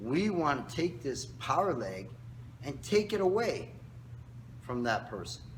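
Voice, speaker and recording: With vocal fry and audible room echo, a man speaks at a fairly slow pace and medium pitch, using very wide pitch swings and long, frequent pauses. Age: 60s. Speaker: karate instructor. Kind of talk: tutorial. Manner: casual, instructive.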